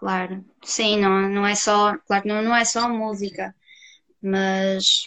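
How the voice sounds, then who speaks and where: With a monotone, flat delivery, a woman talks at a medium pitch. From Portugal, Castelo de Paiva area. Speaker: music student, flautist. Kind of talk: interview on a live stream.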